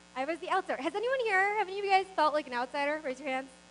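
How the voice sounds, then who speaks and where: A woman talks at a very fast pace and a high pitch, her voice making very wide pitch swings over noticeable background noise. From US East Coast, Maryland suburbs of Washington DC. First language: not English. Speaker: business founder, keynote speaker. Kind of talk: motivational speech.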